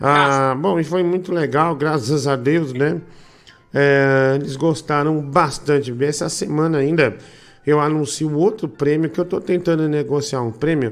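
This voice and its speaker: Delivered at a fairly slow pace with ordinary pitch variation, this is a normal speaking voice. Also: man, fairly high pitch for a man. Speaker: live show host. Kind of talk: casual live chat.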